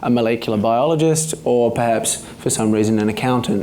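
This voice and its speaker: Noticeable background noise runs through the clip. Room echo is audible too. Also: man. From New Zealand. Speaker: stem cell researcher. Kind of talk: public talk. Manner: hesitant, many fillers; not fast.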